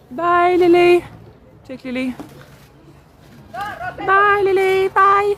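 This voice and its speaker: Someone speaks with a Quebec accent while music plays in the background. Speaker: livestreamer. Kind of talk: casual chat. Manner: animated.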